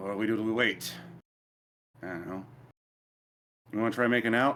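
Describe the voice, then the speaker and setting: Using a put-on character voice, a raspy man speaks fairly quickly at a medium pitch with fairly even intonation. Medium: actual play. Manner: casual, offhand chatter.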